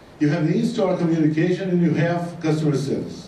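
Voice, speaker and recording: Noticeable background noise and audible echo from the room surround a man as he talks. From Brazil. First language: Portuguese. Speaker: business consultant speaker. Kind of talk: conference talk. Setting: stage with audience. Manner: hesitant, many fillers.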